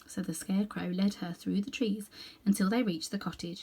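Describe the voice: A woman with a medium pitch and a dark, mellow tone edged with slight huskiness speaks at a moderate pace with fairly even intonation.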